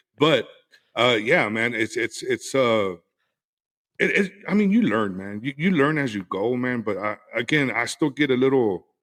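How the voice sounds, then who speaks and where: Speaking with an American accent, a man keeps a moderate pace and a medium pitch with lively intonation. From West Texas. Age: 40s. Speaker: podcaster, cigar and whiskey creator. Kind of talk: casual interview chat. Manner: halting, many repeated words.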